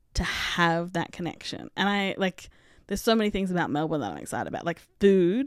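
A woman speaks at a moderate pace in an Australian accent, her pitch medium with ordinary variation. The recording is very clean, with a silent background. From Australia, country Victoria and Canberra. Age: 30s. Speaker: podcast host. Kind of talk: casual monologue. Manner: animated.

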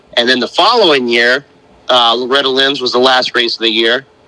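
A man with an American accent, noticeable background noise behind him. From North Carolina. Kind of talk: casual interview.

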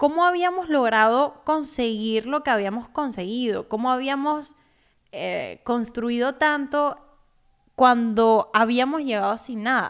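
A very slow pace on a very clean recording with a silent background. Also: woman, high pitch for a woman, ordinary pitch variation. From Cuba, Havana. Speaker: podcast host, personal finance educator. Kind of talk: personal monologue.

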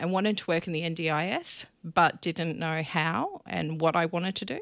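On a very clean recording with a silent background, a woman speaks at a moderate pace in a fairly low pitch with fairly even intonation. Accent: Australian. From Australia, Victoria and Queensland. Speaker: event organiser and marketing business founder. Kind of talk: casual interview chat.

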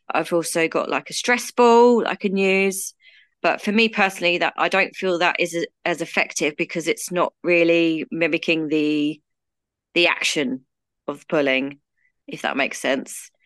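With a British accent, a woman speaks at a moderate pace and fairly low pitch with ordinary pitch variation against a quiet background. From UK. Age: 30s. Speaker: guest with trichotillomania. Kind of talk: casual interview, personal story.

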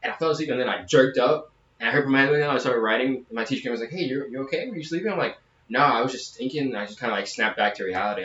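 A man at a medium pitch talks at a very fast pace over noticeable background noise. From southern Louisiana. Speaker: podcast co-host, soldier. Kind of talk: casual chat.

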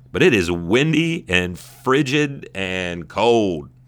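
A man with an American accent speaks in an animated tone, his pitch swinging very widely. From Southern California. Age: 30s. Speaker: sports podcast host. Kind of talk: solo podcast monologue. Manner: casual, animated; halting with repetitions and fillers.

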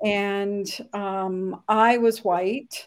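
On a very clean recording, with a silent background, a woman is talking. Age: 60s. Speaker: former army nurse and business owner. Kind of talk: interview.

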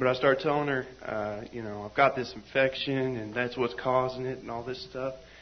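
A man's medium-pitched voice at a moderate pace, fairly even in intonation, with big swings in loudness and noticeable background noise. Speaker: church member. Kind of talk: testimony. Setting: church meeting with live audience.

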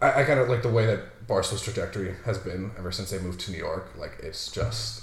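With an American accent, a man races along at a very fast pace, hardly pausing, his loudness swinging widely. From Massachusetts. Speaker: customer service worker at a betting company. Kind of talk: casual chat.

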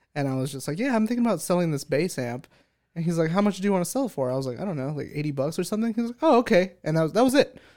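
A man with an American accent talks at a very fast pace with lively intonation. The recording is very clean, with a silent background. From California, San Bernardino. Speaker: unpaid podcast intern. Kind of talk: casual chat.

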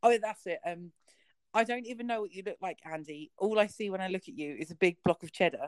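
A woman with a normal speaking voice talks fairly quickly at a medium pitch, her loudness swinging widely and her pitch varying in an ordinary way, in dry, close sound with no echo. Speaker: podcast host. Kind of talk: casual chat. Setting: online audio call.

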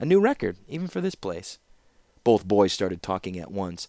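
In a very clean recording with a silent background and a dry, close sound with no echo, a man speaks fairly quickly in an unremarkable speaking voice. His pitch sits fairly low and his intonation is lively. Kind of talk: literary audiobook reading with character dialogue. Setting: home recording. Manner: measured, storyteller cadence, slightly varied voices for characters.

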